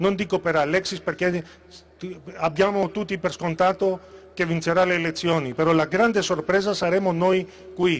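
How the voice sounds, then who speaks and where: At a moderate pace, a man with a high voice speaks in a fairly even intonation. He takes long, frequent pauses. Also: very even loudness. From Greece. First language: Greek (speaking Italian). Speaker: political candidate; candidate. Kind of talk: campaign speech. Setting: stage with audience. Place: stage. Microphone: handheld.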